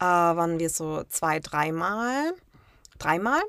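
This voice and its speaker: The speaker is a woman. Her recording is very clean, with a silent background. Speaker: travel blogger. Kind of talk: interview.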